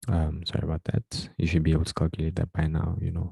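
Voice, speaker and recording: Soft-spoken and somewhat breathy, a man with a very deep, low, dark, mellow voice speaks at a fairly quick pace in a monotone, flat way, with a dry, close sound and no echo. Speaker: tutor. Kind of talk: tutorial.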